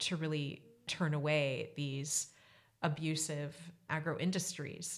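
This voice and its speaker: A woman's very deep, low pitch in a very clean recording with a silent background. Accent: American. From US. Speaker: anthropologist. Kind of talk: interview.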